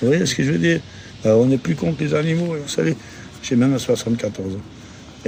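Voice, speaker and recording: A man's intonation is lively and his pace fairly quick, with noticeable background noise throughout. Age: 70s. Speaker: passer-by interviewed in the street. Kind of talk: casual street interview. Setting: outdoors in a city square. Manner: animated, opinionated.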